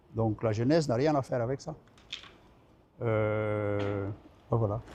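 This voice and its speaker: This man talks very slowly with a slight Belgian accent. His pitch is medium, and it rises and falls in an ordinary way. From Belgium. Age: 70s. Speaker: retired trade unionist. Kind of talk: interview. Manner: halting.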